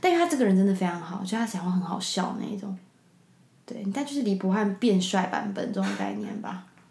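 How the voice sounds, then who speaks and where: Amid audible room echo, a woman talks at a fairly quick pace with a medium pitch and ordinary pitch variation. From Taiwan, Taipei. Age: 20s. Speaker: podcast guest, drama graduate. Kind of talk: casual interview chat.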